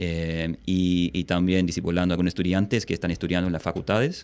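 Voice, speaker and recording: The recording is very clean, with a silent background. A man with a very deep, low pitch speaks at a moderate pace. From Australia. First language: English (speaking Spanish). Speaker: missionary and seminary teacher. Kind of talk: podcast interview. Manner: hesitant, many fillers.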